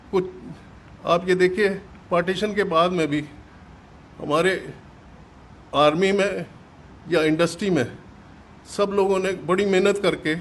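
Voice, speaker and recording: With long, frequent pauses, a high-pitched man keeps his intonation fairly even. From Punjab, Pakistan. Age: 80s+. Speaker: partition survivor. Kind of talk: testimony. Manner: halting.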